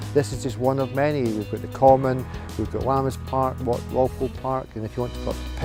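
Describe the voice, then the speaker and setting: Music plays in the background. A man with a Scottish accent talks at a fairly quick pace. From Scotland. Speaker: estate agent sales manager. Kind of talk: casual talk to camera, local area guide. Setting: outdoors.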